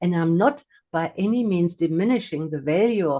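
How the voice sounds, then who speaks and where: A woman speaks with a non-native accent. Her voice is fairly low, with a dark, mellow tone. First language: not English. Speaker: hypnotherapist and mindfulness teacher. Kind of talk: livestream talk. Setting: livestream on video call. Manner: hesitant, many fillers and repetitions.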